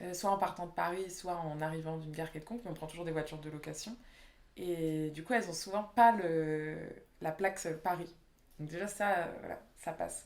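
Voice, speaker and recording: A woman speaks at a fairly low pitch and a moderate pace. Her intonation stays fairly even. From Réunion. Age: 20s. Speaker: urban planning architect. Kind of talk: interview. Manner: casual, hesitant with fillers.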